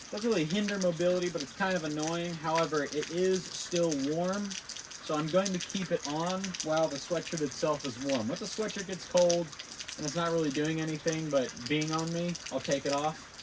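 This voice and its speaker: Against noticeable background noise, a man talks in a high pitch. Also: moderate pace. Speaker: fitness vlogger. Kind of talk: casual vlog. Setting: outdoors. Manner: animated.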